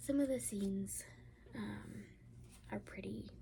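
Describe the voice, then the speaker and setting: A woman whispers, soft-spoken. Her pace is very slow. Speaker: ASMR creator. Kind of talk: ASMR book review. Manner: soft-spoken, whispered.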